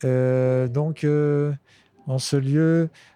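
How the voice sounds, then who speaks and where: Fairly high male voice, intonation fairly even. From Lorraine, France (Nancy suburbs). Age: 50s. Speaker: street musician, harmonica player. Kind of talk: interview conversation. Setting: outdoors on a bench. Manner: hesitant, many fillers.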